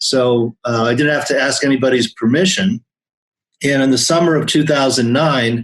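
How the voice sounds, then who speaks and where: At a moderate pace, a man talks in an ordinary speaking voice with a medium pitch, ordinary pitch variation and very even loudness. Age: 60s. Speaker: accountant. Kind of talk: interview.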